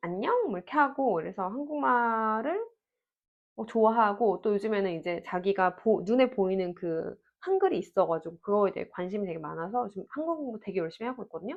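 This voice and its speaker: An ordinary speaking voice from a woman, medium in pitch, fairly quick, with lively intonation. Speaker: parenting vlogger. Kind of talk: Q&A monologue. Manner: conversational.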